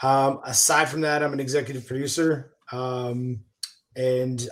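A man with a normal speaking voice and medium pitch talks at a fairly slow pace. His intonation stays fairly even. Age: 50s. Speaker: actor and executive producer. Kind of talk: casual chat.

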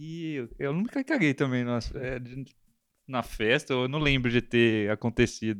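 A man of medium pitch speaks at a fairly slow pace with ordinary pitch variation and long, frequent pauses, over a quiet background. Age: 30s. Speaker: podcast host. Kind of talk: casual chat.

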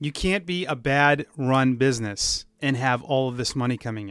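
The recording is very clean with a silent background, capturing a man at a fairly high pitch. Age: 40s. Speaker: podcast host and baseball broadcaster. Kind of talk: solo podcast monologue. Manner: animated.

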